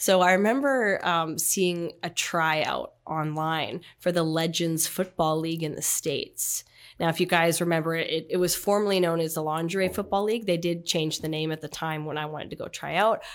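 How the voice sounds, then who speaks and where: In a Canadian accent, a woman talks at a moderate pace with hardly any pauses, using a plain, everyday voice. Her pitch is fairly low, and the recording is very clean with a silent background. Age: 30s. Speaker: athlete. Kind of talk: casual interview.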